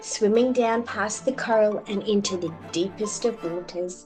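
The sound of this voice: A woman speaks with a slightly mellow tone. Faint music plays in the background.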